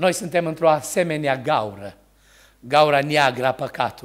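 A man talks at a moderate pace, the background quiet. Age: 60s. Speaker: preacher. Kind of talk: sermon. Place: church. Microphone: podium.

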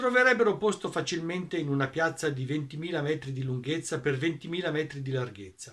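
Against a quiet background, a man speaks at a fairly quick pace in a fairly high voice with lively intonation. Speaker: audiobook narrator. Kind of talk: narration of the author's own commentary. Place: home room. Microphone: webcam.

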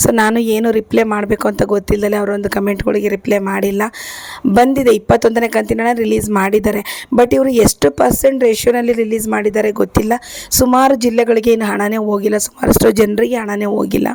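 With noticeable background noise behind her, a woman speaks at a fairly high pitch and with fairly even intonation. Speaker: YouTuber giving welfare scheme updates. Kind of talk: vlog-style news update.

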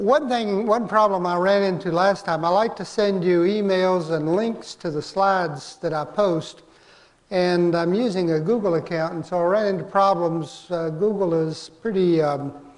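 A man with a high voice, ordinary pitch variation and a moderate pace. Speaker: course instructor. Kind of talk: lecture. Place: hall.

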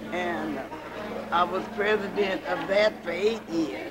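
Against loud background noise, a woman with an American accent talks at a very slow pace. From US Midwest, rural Kansas. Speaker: church and community elder. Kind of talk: interview. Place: church. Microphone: old recording.

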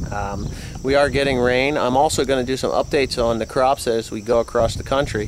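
With fairly even intonation, a man speaks at a moderate pace in a dry sound with no echo and light background noise. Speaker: farmer vlogger. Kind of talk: casual vlog chat. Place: farm machine. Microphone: phone near.

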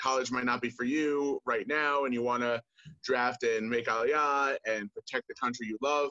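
A man with an American accent has a bright, sharp tone and a moderate pace, recorded dry with no echo over a quiet background. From US, Maryland. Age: 20s. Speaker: soldier. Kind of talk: interview. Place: home room. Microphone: video call.

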